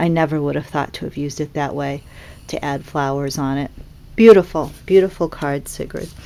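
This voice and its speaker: A woman's very deep, low voice with a dark, mellow tone, a slight Boston accent, a moderate pace, ordinary pitch variation and big swings in loudness. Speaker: papercraft seller and demonstrator. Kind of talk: product demonstration. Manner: animated.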